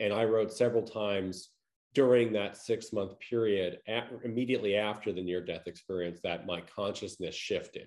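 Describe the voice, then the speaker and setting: With an American accent and an ordinary speaking voice, a man talks at a fairly quick pace with fairly low pitch and ordinary pitch variation. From Long Island, New York. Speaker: near-death experiencer. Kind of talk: interview.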